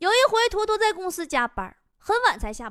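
A woman speaks at a fairly quick pace with a Northeastern Chinese accent and an animated tone. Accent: Northeastern Mandarin. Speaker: stand-up comedian and show host. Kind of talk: comedic monologue.

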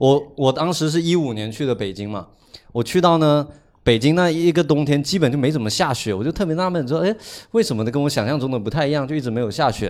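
A man's voice sits fairly high and has lively intonation. He speaks at a very fast pace. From Guangdong, China. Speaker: podcast co-host. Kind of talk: casual chat.

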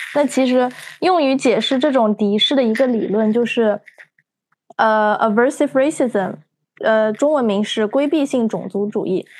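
Her loudness is very even as this woman talks at a high pitch with ordinary pitch variation. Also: moderate pace. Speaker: podcast co-host, psychology student. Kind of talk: casual chat.

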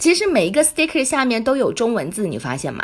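A woman talks in an animated tone with very wide pitch swings. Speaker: podcast co-host. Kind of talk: casual chat.

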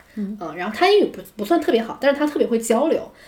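A woman's voice moves through very wide pitch swings over noticeable background noise. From China. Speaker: English educator and podcast host. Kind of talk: casual chat.

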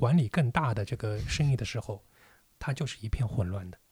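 A somewhat breathy man at medium pitch, moderate in pace with lively intonation, in a very clean recording with a silent background. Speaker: entrepreneur and business owner. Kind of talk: casual chat.

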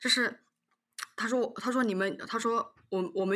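A woman uses a normal speaking voice at a moderate pace. Her pitch varies in an ordinary way. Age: 20s. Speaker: elderly care company worker. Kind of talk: casual chat.

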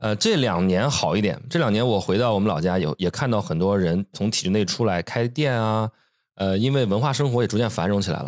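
A man's ordinary speaking voice, fairly low in pitch and fairly quick in pace, on a very clean recording with a silent background. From Shandong, China. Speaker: podcast co-host, designer. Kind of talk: casual chat. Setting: home studio.

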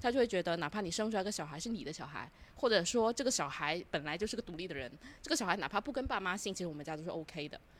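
A woman's very fast speech at medium pitch with lively intonation. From Guangdong. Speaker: podcast guest. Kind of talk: casual chat.

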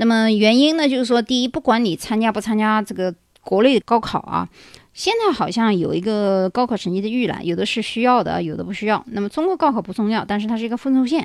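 The recording is very clean with a silent background as the speaker races along at a very fast pace. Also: woman, fairly high pitch for a woman, ordinary pitch variation. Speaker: podcast host. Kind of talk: solo monologue. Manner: conversational, many filler particles.

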